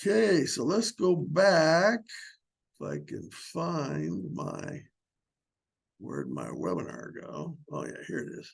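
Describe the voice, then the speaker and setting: A man speaks at a very slow pace with long, frequent pauses. His loudness swings widely. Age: 70s. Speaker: small business consultant, workshop instructor. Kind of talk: webinar lecture. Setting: online webinar. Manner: casual, conversational with filler words.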